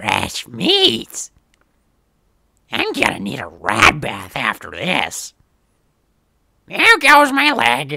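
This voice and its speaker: In a put-on character voice, a man talks very slowly and leaves long, frequent pauses. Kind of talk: game character audition lines. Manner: menacing.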